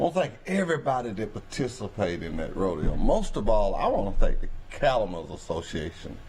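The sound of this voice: Talking at a fairly quick pace, a man uses a fairly low, slightly mellow voice with big pitch swings.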